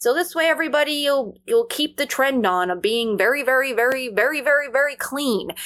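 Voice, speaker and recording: A woman with a high pitch and lively intonation talks at a fairly quick pace, with hardly any pauses and very even loudness. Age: 30s. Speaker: podcast host and makeup artist. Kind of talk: casual solo podcast chat. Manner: animated.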